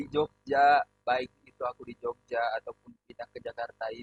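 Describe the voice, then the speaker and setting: At a moderate pace and a fairly high pitch, a man speaks with a dry, close sound and no echo while music plays in the background. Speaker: podcast host. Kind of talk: casual chat. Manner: loud; blunt tone, often taken as angry.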